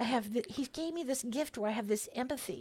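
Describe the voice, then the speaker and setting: Speaking at a moderate pace with ordinary pitch variation, this voice has a General American accent. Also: woman, very clean recording, silent background. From California. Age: 60s. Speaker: pastor's wife, former orchestra staff. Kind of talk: casual interview chat. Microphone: close to the mic.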